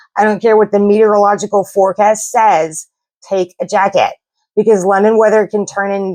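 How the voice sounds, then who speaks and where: A woman with an American accent speaks at a medium pitch. Her tone is dark and mellow. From US South. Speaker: travel vlogger. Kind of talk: casual vlog talk to camera.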